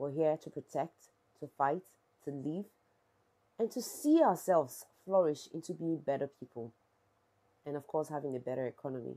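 With a Nigerian accent, a woman speaks in a very deep, low voice with a dark, mellow tone and ordinary pitch variation, at a moderate pace with long, frequent pauses, over a quiet background. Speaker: YouTuber, social issues vlogger. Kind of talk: vlog / protest commentary. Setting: outdoors at a protest. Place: home room.

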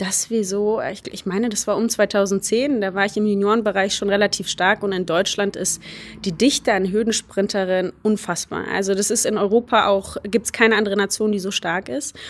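A woman speaks at a moderate pace with a medium pitch and fairly even intonation. Hers is a plain, everyday voice. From Germany. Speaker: hurdle sprinter. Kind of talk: interview. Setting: university.

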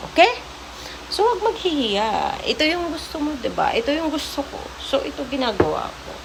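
A woman with a high pitch speaks in an animated tone at a moderate pace, with very wide pitch swings and big swings in loudness. Noticeable background noise and audible room echo are present. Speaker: vlogger. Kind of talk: motivational vlog monologue.

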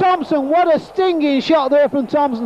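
Here a man speaks in an animated tone. The sound is dry, with no echo. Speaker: football commentator. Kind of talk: live football commentary. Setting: stadium commentary, archive match broadcast. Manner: animated, exclaiming at near misses and goals. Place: stadium.

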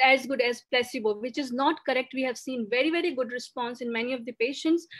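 A woman with a high pitch and ordinary pitch variation talks at a fairly quick pace. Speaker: doctor. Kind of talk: lecture. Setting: video call.

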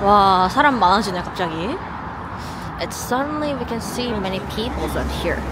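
Speaking in a Korean accent, a woman talks at a moderate pace and a medium pitch. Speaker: live-streaming travel vlogger. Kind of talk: live-streamed walking tour commentary. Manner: casual, chatty.

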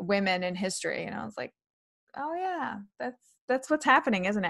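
With an American accent, a woman talks at a moderate pace and swings very widely in pitch. The background is quiet. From New York City. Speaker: comedian and author. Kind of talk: interview chat. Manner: animated, versatile with voices. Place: home room. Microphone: webcam.

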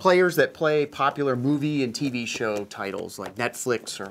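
Some light noise sits behind a man speaking at a moderate speed. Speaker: guest. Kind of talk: interview answer. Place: studio. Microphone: lapel.

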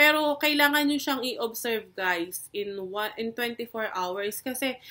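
This woman's voice is fairly high with a bright, sharp tone. Her pitch varies in an ordinary way. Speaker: nurse and health video creator. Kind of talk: educational vlog tutorial. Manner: casual with frequent fillers and code-switching.

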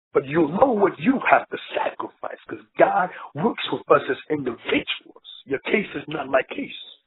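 A man at a moderate pace, with big swings in loudness and hardly any pauses. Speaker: preacher. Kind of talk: fervent intercessory prayer, declaring curses null and void in Jesus' name. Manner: breaks into speaking in tongues mid-prayer.

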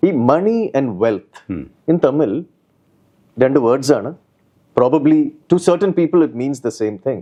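A man has a fairly high pitch and a dark, mellow tone. His speech shows vocal fry and very wide pitch swings. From Kerala, Kochi. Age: young. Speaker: investor and businessman. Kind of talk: interview.

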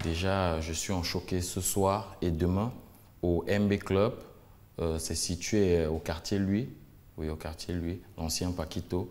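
A man's very deep, low voice at a very slow pace, with fairly even intonation. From Cameroon. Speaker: singer; guest. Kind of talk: interview; interview answer. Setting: studio. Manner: hesitant. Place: studio. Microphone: lapel.

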